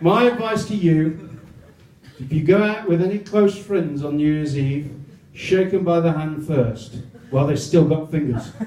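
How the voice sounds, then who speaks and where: Amid noticeable background noise and audible room echo, a man with an English accent speaks at a fairly high pitch with ordinary pitch variation. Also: moderate pace. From England. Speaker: comedian. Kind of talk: stand-up.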